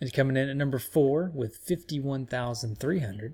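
A man talks in a normal speaking voice at fairly high pitch. His pitch variation is ordinary. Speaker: podcast host. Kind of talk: casual chat.

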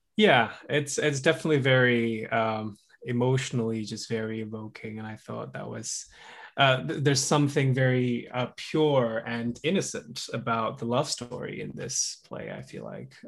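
A man speaks with a British accent and ordinary pitch variation. His loudness swings widely from moment to moment. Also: medium pitch for a man, moderate pace. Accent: British-sounding, sophisticated. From Indonesia (Java). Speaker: musician. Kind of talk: casual chat. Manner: halting, many fillers.

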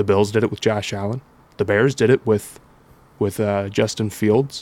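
At a moderate pace, a man speaks with an unremarkable speaking voice and ordinary pitch variation. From Columbus, Ohio. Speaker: sports podcast co-host. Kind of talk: casual chat.

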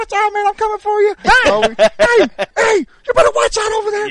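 A man's put-on character voice, squeaky and extremely high, at a moderate pace. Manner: taunting, warning.

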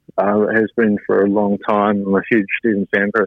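Speaking at a moderate pace, a man with a New Zealand accent has a fairly low pitch. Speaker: ice hockey player. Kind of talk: radio interview. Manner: hesitant, many fillers.

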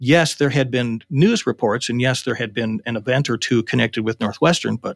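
This man has an unremarkable speaking voice, medium in pitch with ordinary variation, at a fairly quick pace. The recording is very clean with a silent background. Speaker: interviewee, former war gamer. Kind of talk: recollection interview.

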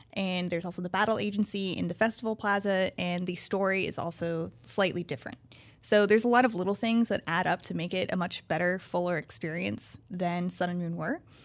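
A woman with an ordinary speaking voice talks at a fairly quick pace, barely pausing at all. Her pitch sits in the medium range and varies in an ordinary way. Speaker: game journalist. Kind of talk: casual chat.

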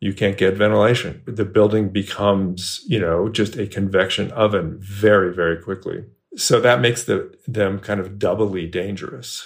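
Against a silent background in a very clean recording, a man with an American accent talks at a moderate pace with fairly even intonation and hardly any pauses. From US West Coast (Bay Area, California). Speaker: journalist and author. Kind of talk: interview. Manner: hesitant with many fillers.

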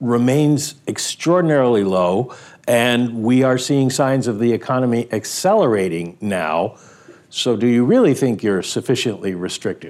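A man's plain, everyday voice at medium pitch, moderate pace and lively intonation, with very even loudness, in a very clean recording with a silent background. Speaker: economics editor. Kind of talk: interview.

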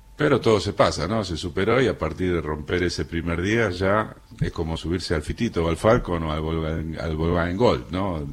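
Lively intonation in a man's very deep, low voice. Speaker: radio journalist and host. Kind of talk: radio interview. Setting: studio.

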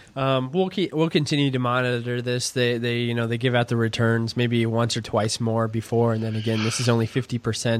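A normal speaking voice at a fairly quick pace, with fairly even intonation and hardly any pauses. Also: man, medium pitch for a man. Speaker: podcast host. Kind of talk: casual sports talk.

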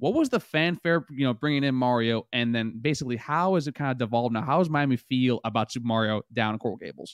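A man at medium pitch talks at a very fast pace. He barely pauses, and his pitch varies in an ordinary way. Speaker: podcast host. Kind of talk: casual sports chat, ad read. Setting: streaming studio. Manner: animated, casual.

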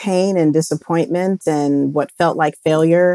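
A woman with an American accent and an unremarkable speaking voice talks at a fairly low pitch with fairly even intonation. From United States (raised there since toddler, Jamaican family). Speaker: education franchise owner. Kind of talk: interview.

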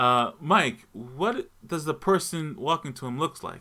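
A man with an unremarkable speaking voice talks at a fairly slow pace and fairly high pitch, in a very clean recording with a silent background. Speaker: game master of tabletop role-playing podcast. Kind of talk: tabletop role-play narration.

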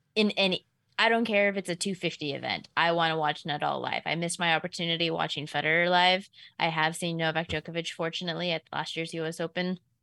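A woman's fairly low voice with a bright, sharp tone at a fairly quick pace, very cleanly recorded against a silent background. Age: 30s. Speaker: sports betting analyst. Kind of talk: casual sports chat.

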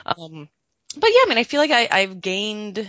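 A woman with lively intonation at a moderate pace. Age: 30s. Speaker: sex educator and author. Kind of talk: interview. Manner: halting.

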